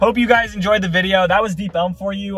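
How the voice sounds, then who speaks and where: A man races along at a very fast pace while music plays in the background. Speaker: real estate agent and vlogger. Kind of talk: casual driving tour vlog. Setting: in a car. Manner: casual, halting.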